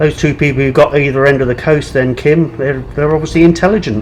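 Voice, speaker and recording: Mumbling man, fairly high-pitched, at a moderate pace over noticeable background noise. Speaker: pub quiz host. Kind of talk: live online quiz hosting, reading scores.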